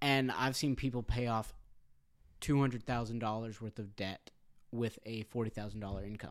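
In a plain, everyday voice, a man speaks at a medium pitch and a moderate pace with fairly even intonation. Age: 20s. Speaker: church member and stepfather. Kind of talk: casual chat. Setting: recording in a church.

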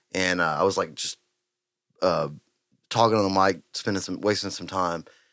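A man speaks with a Texan accent. The recording is very clean, with a silent background. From Texas, Huffman. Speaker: podcast host and musician. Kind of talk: casual chat. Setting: live-streamed podcast studio.

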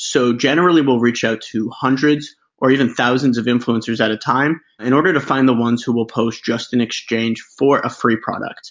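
A man talks in a plain, everyday voice at a medium pitch. His pace is moderate and his intonation fairly even. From Canada. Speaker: startup founder. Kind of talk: interview.

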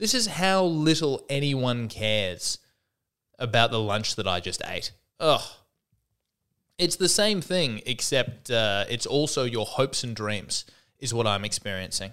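In a very clean recording with a silent background, a man with an Australian accent and a bright, sharp tone speaks at medium pitch and a fairly slow pace, his pitch swinging very widely between long, frequent pauses. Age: 30s. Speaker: stand-up comedian and podcast host. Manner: rambling, wry, stop-start with frequent restarts and self-corrections.

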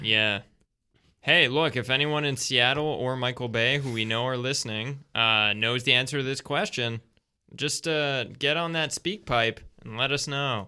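A Canadian-accented voice with a bright, sharp tone speaks at a moderate pace on a very clean recording with a silent background. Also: man, medium pitch for a man, ordinary pitch variation. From Canada. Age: 20s. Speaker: improv and sketch comedian. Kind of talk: casual chat. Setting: studio.

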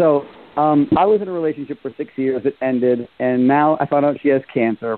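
Speaking with an American accent, this man has a fairly high pitch. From New York City. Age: 40s. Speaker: radio show caller. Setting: phone. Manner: fast talker.

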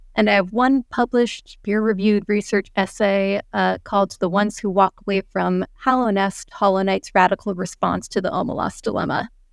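A woman talks at a fairly quick pace with hardly any pauses. Her intonation is fairly even, and the recording is very clean with a silent background. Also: medium pitch for a woman. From US Northeast, Vermont. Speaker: writer. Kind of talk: casual chat.

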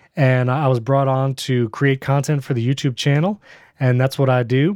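In a normal speaking voice with an American accent, a man speaks at a medium pitch and moderate pace, the sound dry and close with no echo over a quiet background. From upstate New York (born Brooklyn). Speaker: podcast video producer and host. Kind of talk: casual interview chat.

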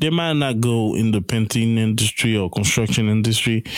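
A man has a plain, everyday voice with ordinary pitch variation. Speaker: podcast host. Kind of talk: interview.

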